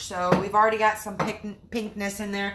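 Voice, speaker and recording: A woman with an American accent has a fairly high pitch and an upbeat tone, speaking at a moderate pace. Noticeable background noise and audible room echo are present. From US Midwest, Michigan. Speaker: cooking livestream host. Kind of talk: live cooking demonstration. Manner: chatty, upbeat.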